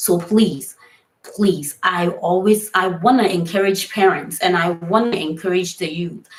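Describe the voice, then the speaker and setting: This somewhat breathy voice with an American accent moves at a fairly slow pace with fairly even intonation. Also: woman. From Ghana. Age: 20s. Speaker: online talk show host. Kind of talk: live stream talk show.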